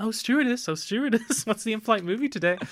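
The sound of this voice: A man performs a squeaky, put-on character voice pitched high. He keeps a moderate pace.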